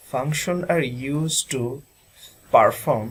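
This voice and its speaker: Speaking at a very slow pace, a man has a medium pitch, ordinary pitch variation and a somewhat breathy sound. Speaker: student presenter. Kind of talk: presentation. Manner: formal.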